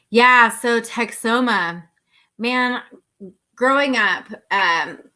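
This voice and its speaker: Loud and bright with a sharp tone, a woman with an American accent speaks on a very clean recording with a silent background. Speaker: outdoor YouTuber. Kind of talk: live stream Q&A chat. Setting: live stream at home near router.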